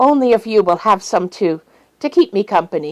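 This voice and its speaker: At a moderate pace, the speaker performs a put-on character voice. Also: female-sounding voice. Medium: read story.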